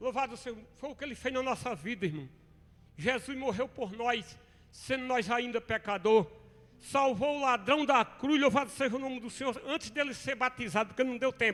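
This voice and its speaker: Extremely high in pitch, a man talks at a moderate pace with ordinary pitch variation. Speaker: preacher. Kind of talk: sermon.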